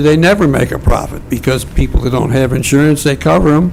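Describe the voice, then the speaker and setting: There is noticeable background noise as a man speaks at a fairly high pitch with ordinary pitch variation. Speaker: public commenter at city council meeting. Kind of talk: public comment. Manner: loud.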